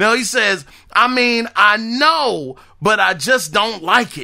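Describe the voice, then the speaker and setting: Raised and projected, a man's high voice comes across with a bright, sharp, animated tone. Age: 40s. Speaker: gaming podcast host. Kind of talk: casual solo podcast monologue.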